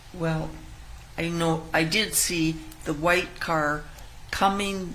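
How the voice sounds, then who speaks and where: A woman's flat, monotone delivery at a very slow pace, with audible room echo and noticeable background noise. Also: fairly low pitch for a woman. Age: 80s+. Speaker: witness. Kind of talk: testimony. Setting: courtroom. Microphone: too far from the microphone.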